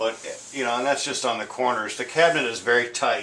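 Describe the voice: With audible room echo, a man speaks at medium pitch and a moderate pace, his tone bright and sharp and his pitch variation ordinary.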